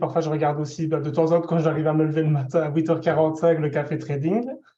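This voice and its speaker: Talking at a very fast pace, a man with a fairly high pitch and a dark, mellow tone keeps a monotone, flat intonation amid audible room echo. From Belgium. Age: 20s. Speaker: specialized educator giving testimony. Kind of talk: testimony. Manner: hesitant, many fillers.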